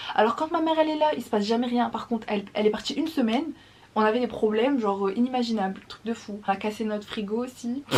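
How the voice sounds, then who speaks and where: Against noticeable background noise, a woman talks very fast at a fairly high pitch with ordinary pitch variation. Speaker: vlogger. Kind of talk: casual vlog talk to camera. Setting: at home, early morning. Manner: keeping voice down.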